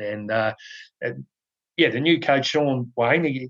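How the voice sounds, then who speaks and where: His pace is fairly slow. The man talks in an Australian accent. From Australia, NSW South Coast. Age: 40s. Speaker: podcast host, rugby league commentator. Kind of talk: casual chat.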